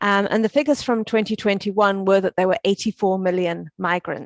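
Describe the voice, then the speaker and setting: Speaking with a South African accent at a moderate pace, a woman uses a medium pitch and ordinary pitch variation in a dry, close sound with no echo. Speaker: UN education officer. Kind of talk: conference talk. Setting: conference stage. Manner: halting, with fillers.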